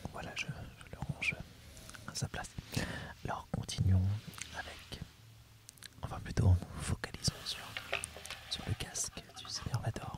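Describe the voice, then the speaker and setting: A man whispers at a fairly slow pace, with long, frequent pauses and big swings in loudness. Noticeable background noise is present. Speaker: ASMR creator. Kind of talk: ASMR role play as an instructor presenting a topic. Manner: soft-spoken, whispered.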